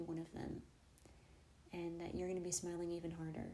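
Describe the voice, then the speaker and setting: Dark, mellow and gentle, calm tones from a woman at fairly low pitch and a moderate pace, with audible room echo. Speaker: manifesting coach and podcast host. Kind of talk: podcast monologue.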